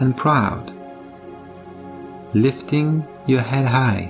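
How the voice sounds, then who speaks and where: Over music in the background, a man speaks at a very slow pace in a calm, soothing tone. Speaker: meditation guide. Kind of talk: guided meditation. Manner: calm, slow, soothing.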